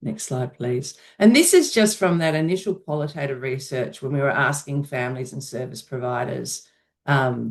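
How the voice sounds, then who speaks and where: The pace here is moderate. The voice carries an Australian accent. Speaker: researcher. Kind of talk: research presentation.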